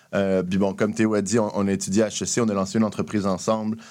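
A man's ordinary speaking voice, fairly low in pitch, with fairly even intonation and a fairly quick pace, on a very clean recording with a silent background. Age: 30s. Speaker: entrepreneurship program director. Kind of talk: radio interview.

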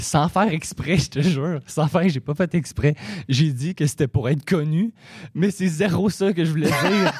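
A man with an unremarkable speaking voice talks at a moderate pace with ordinary pitch variation, recorded very cleanly against a silent background with a dry, close sound and no echo. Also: fairly high pitch for a man. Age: 20s. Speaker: comedy school graduate. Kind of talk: casual interview.

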